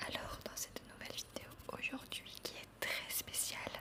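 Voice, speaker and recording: Noticeable background noise fills the clip. Under it, a woman whispers very slowly. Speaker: ASMR creator. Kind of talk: ASMR game video, casual talk to camera. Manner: whispered, soft, slow.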